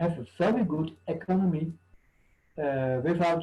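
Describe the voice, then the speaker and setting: At a fairly slow pace, a man talks in a dark, mellow tone with ordinary pitch variation. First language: not English. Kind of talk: panel discussion. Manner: halting.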